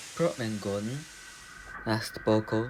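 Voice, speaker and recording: A man's voice over noticeable background noise. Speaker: storyteller. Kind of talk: children's story audio reading.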